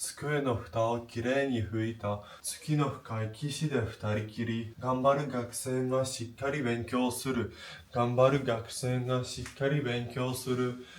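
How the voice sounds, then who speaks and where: A man at a medium pitch and moderate pace, with monotone, flat intonation and noticeable background noise. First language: Polish. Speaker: Japanese language learner. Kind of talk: Japanese pronunciation drill, tongue twisters.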